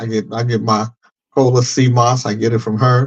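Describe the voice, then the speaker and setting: Here a man talks. He uses a medium pitch. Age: 60s. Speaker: podcast co-host. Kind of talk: casual chat.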